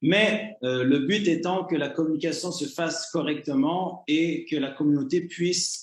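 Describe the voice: With a Canadian French accent, a man speaks at a moderate pace and fairly high pitch, with audible room echo.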